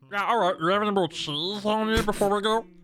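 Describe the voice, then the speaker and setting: A man performs a put-on character voice. It is high in pitch and very fast. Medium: actual play. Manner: casual, chatty.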